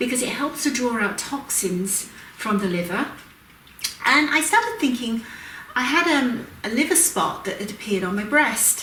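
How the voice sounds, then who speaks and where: Over noticeable background noise and audible room echo, a woman speaks at a high pitch with very wide pitch swings and a moderate pace. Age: 60s. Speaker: aromatherapy educator and cosmetics maker. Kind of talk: tutorial. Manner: casual, with frequent fillers.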